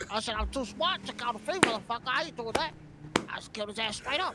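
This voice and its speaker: A man's extremely high pitch at a very fast pace, under loud background noise. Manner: boastful, slangy, dopey.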